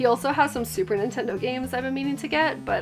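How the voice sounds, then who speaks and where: Music plays in the background as a woman speaks in an upbeat tone. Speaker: retro game collector. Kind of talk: casual talk to camera.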